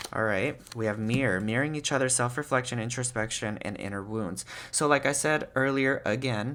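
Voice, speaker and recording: A man's bright, sharp voice at a fairly quick pace. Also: medium pitch for a man, ordinary pitch variation. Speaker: tarot reader. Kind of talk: tarot reading video. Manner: fast; casual.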